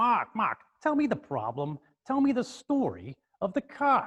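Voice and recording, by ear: In a put-on character voice with a New York accent, the speaker talks at a moderate pace with fairly high pitch.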